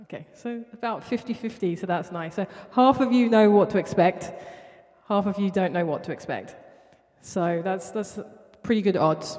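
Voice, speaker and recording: A woman with a South London accent speaks at a moderate pace and medium pitch, using ordinary pitch variation and long, frequent pauses. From Southeast London. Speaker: artist. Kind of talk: spoken word performance. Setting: studio with live audience. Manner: repetitive, rhythmic.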